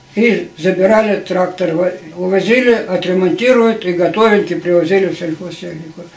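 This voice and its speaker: Fairly even intonation at a fairly slow pace, with audible room echo. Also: man. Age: 80s+. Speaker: retired agricultural machinery engineer. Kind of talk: interview answer. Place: home room. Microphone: camera far.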